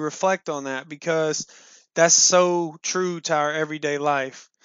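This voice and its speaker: Here is a man with a normal speaking voice. His pitch is fairly high and his intonation fairly even. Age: 20s. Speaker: podcast host. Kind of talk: solo monologue. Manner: casual, with frequent fillers and repetitions.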